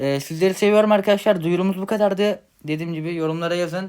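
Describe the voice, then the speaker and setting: On a very clean recording with a silent background, a man talks at a fairly quick pace with ordinary pitch variation. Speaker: mobile gaming YouTuber. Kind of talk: channel announcement. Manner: casual, hesitant with fillers.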